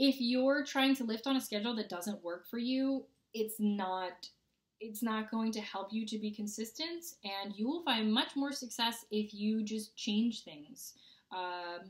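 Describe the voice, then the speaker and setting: A somewhat breathy woman at a fairly slow pace, with a quiet background. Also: ordinary pitch variation. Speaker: fitness vlogger. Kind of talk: casual vlog chat. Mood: upbeat, playful. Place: home room. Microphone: webcam.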